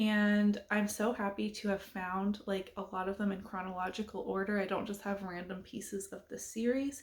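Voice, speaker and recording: Speaking at a moderate pace with hardly any pauses, a woman keeps a flat, monotone intonation at medium pitch in a somewhat breathy voice. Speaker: booktuber. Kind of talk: casual chat.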